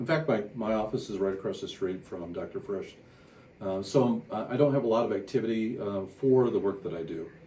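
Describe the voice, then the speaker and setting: A man's dark, mellow tone with lively intonation. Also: medium pitch for a man. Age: 60s. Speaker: company CEO and engineer. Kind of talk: patient testimonial. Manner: hesitant, many fillers.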